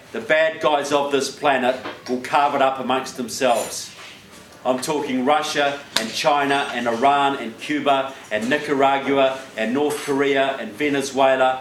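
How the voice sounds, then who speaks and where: Amid noticeable background noise and audible room echo, a man speaks in a medium pitch at a fairly slow pace, with monotone, flat intonation. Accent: New Zealand. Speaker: political speaker. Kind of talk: public speech. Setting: stage with audience.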